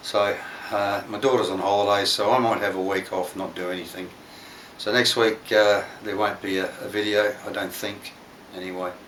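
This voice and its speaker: An Australian accent comes through in a relaxed tone at a moderate pace, with monotone, flat intonation. Audible room echo and noticeable background noise are present. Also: man, fairly low pitch for a man. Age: 60s. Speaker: DIY workshop YouTuber. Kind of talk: casual workshop vlog. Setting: home workshop. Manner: relaxed, hesitant with fillers.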